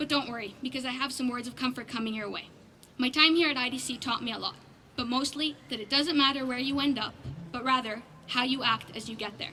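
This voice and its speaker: Over noticeable background noise, a woman's high, raised, projected voice races at a very fast pace with fairly even intonation. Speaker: graduating student speaker. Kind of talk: graduation speech.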